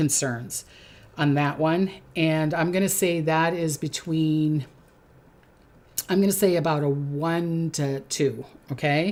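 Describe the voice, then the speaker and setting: In a Minnesotan accent, a woman speaks very slowly with a fairly low pitch and ordinary pitch variation. The recording is very clean, with a silent background. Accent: Minnesota. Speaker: psychic. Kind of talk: predictions monologue. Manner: hesitant, many fillers.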